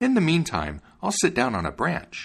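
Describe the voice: Putting on a character voice, a man speaks at a moderate pace and fairly high pitch, with very wide pitch swings, vocal fry and a slightly husky edge, on a very clean recording with a silent background.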